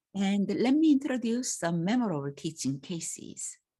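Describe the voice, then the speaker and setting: Speaking slowly with a Korean accent, a woman uses a medium pitch with very wide swings in a somewhat breathy, dark, mellow tone. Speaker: language teacher. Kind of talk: self-introduction talk. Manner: halting.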